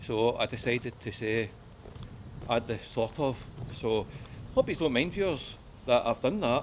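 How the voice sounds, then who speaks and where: A strong West of Scotland accent with ordinary pitch variation and long, frequent pauses. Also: man, medium pitch for a man. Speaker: travel vlogger. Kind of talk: casual walking vlog talk to camera. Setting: outdoors.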